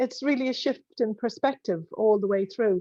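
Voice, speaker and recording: Someone with an Irish accent speaks at a moderate pace with lively intonation. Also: woman. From Ireland. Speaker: accountant. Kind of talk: casual chat. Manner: halting.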